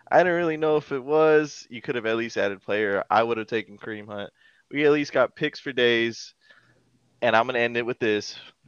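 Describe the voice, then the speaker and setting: The man talks at a fairly quick pace and a medium pitch with ordinary pitch variation, the sound dry and close with no echo against a quiet background. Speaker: podcast host. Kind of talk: casual chat. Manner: animated.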